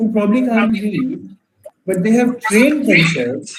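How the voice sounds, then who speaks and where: The room adds audible echo around the voice. A man speaks fairly slowly. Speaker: entrepreneur and startup mentor. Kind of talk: Q&A in an online workshop.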